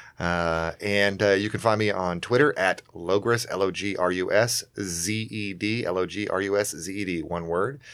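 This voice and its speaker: On a very clean recording with a silent background, a man with an American accent uses an ordinary speaking voice, fairly low in pitch, with fairly even intonation at a moderate pace. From US South. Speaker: comedian and podcast co-host. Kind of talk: casual chat.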